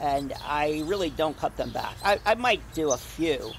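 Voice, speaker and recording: Recorded dry with no echo, a man with an American accent speaks over noticeable background noise. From New Jersey. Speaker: gardening video creator. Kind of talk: casual garden tutorial. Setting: outdoors in a garden. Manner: animated. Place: garden. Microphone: phone near.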